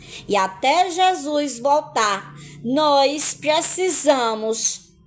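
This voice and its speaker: A woman's voice at a very slow pace, with very wide pitch swings and music in the background. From Brazil, Paraíba (Northeast). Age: 50s. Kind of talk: religious testimony live stream. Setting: live stream.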